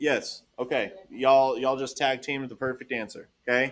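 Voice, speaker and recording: A man speaks with a slight Texas accent. His pace is moderate. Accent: Texas twang, slight. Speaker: math teacher. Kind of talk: classroom lesson. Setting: classroom with students. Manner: animated.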